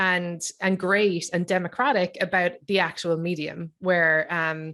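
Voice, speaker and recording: A woman's medium-pitched voice in an Irish accent, at a moderate pace. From Ireland. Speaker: writer, comedian and podcaster. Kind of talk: panel discussion. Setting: video call.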